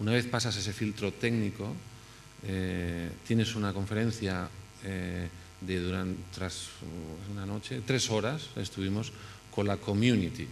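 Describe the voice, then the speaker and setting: A man with a Spanish accent speaks at a fairly slow pace with long, frequent pauses. His pitch is fairly low, his intonation fairly even, and audible room echo surrounds him. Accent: Spanish accent when speaking English. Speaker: architect. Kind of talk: conference talk. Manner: halting, many fillers and restarts.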